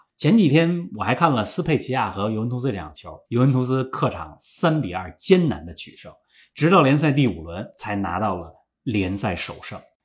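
A man's medium-pitched voice with vocal fry, very wide pitch swings and big swings in loudness, at a moderate pace, on a very clean recording with a silent background. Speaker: football pundit. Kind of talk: casual chat.

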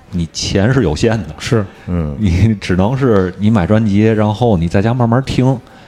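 With noticeable background noise behind him, a man speaks at a fairly slow pace with hardly any pauses. His pitch is fairly low with ordinary variation, and his loudness stays very even. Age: middle-aged. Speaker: podcast host of a partner show. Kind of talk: casual chat.

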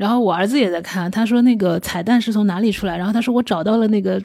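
Speaking at a very fast pace, a woman has a fairly high pitch and a dark, mellow tone. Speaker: theatre company founder and CEO. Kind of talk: interview.

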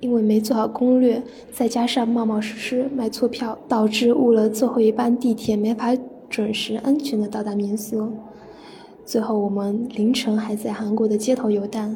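Noticeable background noise sits behind a woman with a fairly high pitch. She speaks at a moderate pace in a flat monotone. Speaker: university student, listener contributor. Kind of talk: reading aloud.

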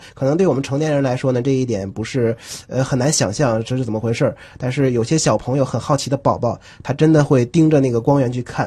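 A somewhat breathy voice with a dark, mellow tone, fairly even intonation and a very fast pace. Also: man, medium pitch for a man. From Northeast China. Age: 20s. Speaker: scientist and crosstalk comedian. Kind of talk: radio interview.

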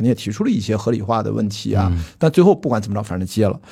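Somewhat breathy and dark, mellow in tone, a man talks very fast with lively intonation. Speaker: film producer and podcast host. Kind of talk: casual chat.

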